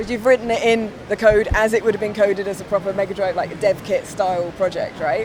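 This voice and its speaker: A woman talks at a very fast pace, with a medium pitch and fairly even intonation. There is noticeable background noise. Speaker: presenter. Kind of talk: interview questions.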